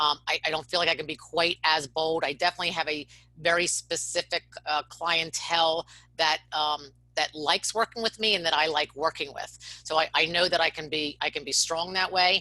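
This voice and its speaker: Speaking at a fairly quick pace, a woman with a fairly low pitch and a bright, sharp tone keeps her intonation fairly even in a dry, close sound with no echo. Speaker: financial coach. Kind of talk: group video call discussion. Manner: fast talker.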